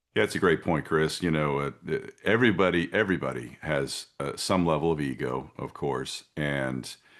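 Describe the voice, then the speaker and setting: His very deep, low voice carries vocal fry as this man talks at a moderate pace with ordinary pitch variation and hardly any pauses. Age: 50s. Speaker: concealed carry instructor. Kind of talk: interview answer. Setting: video call.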